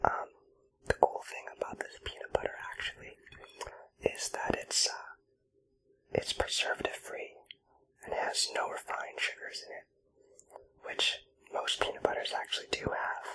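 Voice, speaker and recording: A man is whispering at a fairly slow pace with long, frequent pauses. His loudness swings widely. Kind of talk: ASMR eating roleplay. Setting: close-mic home recording. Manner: whispered.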